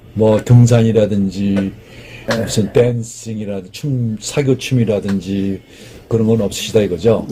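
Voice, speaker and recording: Over noticeable background noise, a man speaks fairly slowly at a fairly low pitch with fairly even intonation. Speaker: matchmaking show host. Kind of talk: interview questions.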